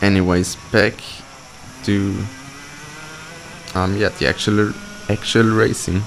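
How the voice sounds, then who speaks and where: With a non-native accent, a man speaks very slowly at a fairly low pitch, his intonation fairly even, with long, frequent pauses and noticeable background noise. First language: not English. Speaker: kart racer. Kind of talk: live commentary over onboard footage. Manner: hesitant, many fillers.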